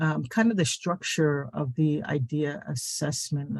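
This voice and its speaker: The voice is somewhat breathy with lively intonation. The sound is dry and close, with no echo. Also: man. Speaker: small business adviser. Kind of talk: webinar presentation. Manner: halting, many fillers.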